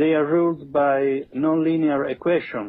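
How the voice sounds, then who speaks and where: With an Italian accent, a man talks in a fairly even intonation. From Italy. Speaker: theoretical physicist. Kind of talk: interview. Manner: halting, many fillers.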